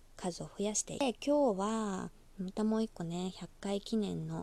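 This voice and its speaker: A woman speaks in a relaxed, dark, mellow tone at a medium pitch. Her pace is fairly slow, with ordinary pitch variation. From Osaka, Japan. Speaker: podcaster. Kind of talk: casual solo talk.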